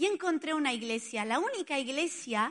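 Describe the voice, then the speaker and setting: A woman with an Italian accent speaks in a bright, sharp tone with lively intonation. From Spain, Barcelona. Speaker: pastor. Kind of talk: sermon.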